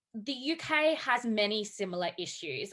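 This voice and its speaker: A woman speaks with an Australian accent at a fairly high pitch. Her tone is bright and sharp, and her intonation is lively. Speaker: academic. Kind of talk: panel talk.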